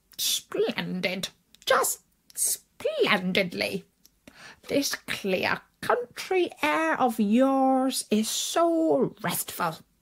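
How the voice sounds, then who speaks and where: A woman puts on a character voice, pitched high and delivered very slowly. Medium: read story. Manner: refined, pompous.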